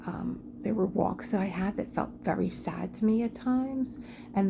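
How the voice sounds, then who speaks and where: A woman is talking. Noticeable background noise can be heard. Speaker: craft and self-care video host. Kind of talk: casual talk while painting. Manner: slow.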